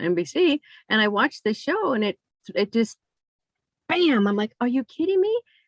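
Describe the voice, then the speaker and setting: In a dry, close recording with no echo, a woman talks at a moderate pace with lively intonation. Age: 60s. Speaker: interviewer. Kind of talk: interview. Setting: video call.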